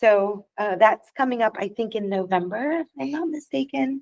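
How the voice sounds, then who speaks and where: A woman talks with an American accent at a moderate pace. Her pitch is fairly high. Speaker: elections director. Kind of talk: public board meeting report. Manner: hesitant, many fillers.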